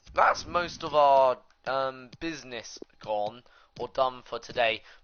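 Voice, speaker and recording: A man speaks with a British accent. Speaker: gaming YouTuber. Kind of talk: gameplay commentary. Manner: hesitant, many fillers.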